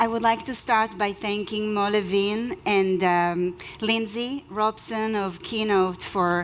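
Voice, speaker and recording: A woman speaks with an Israeli accent, her fairly high pitch moving with ordinary variation. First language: Hebrew. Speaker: lawyer. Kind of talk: conference talk.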